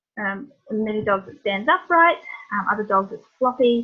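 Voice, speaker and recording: A woman with a New Zealand accent speaks at a moderate pace and a fairly high pitch. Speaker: veterinarian. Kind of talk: lecture.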